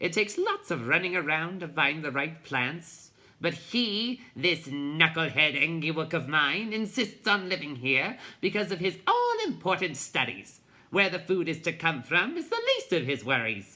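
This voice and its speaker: Someone puts on a rumbling character voice at a middle pitch. The pace is moderate. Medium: read story. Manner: bossy, grumbling.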